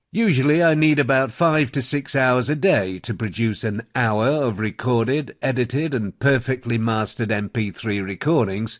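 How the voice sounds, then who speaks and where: Against a quiet background, a man speaks with a Received Pronunciation accent at a moderate pace. His medium pitch varies in an ordinary way, and he leaves hardly any pauses. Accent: British Received Pronunciation. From England. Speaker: audiobook narrator. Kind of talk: promotional talk about own services. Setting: home studio.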